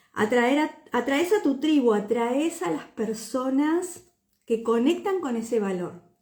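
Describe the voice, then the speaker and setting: A woman's high voice swings very widely in pitch as she talks very slowly. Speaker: personal branding mentor. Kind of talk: livestream talk. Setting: live video stream. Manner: hesitant, many fillers.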